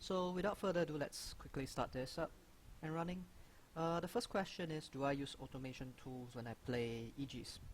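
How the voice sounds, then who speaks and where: A man mumbles in a fairly high voice with a non-native accent, using ordinary pitch variation at a moderate pace. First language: not English. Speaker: gaming youtuber. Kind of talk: Q&A video monologue. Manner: mumbling; halting, frequent fillers.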